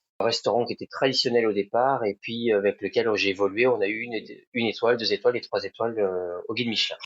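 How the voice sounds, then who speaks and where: A man talking at a fairly quick pace. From France, Sarthe (Pays de la Loire). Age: 40s. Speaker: restaurant owner. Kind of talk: podcast interview. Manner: hesitant, many fillers.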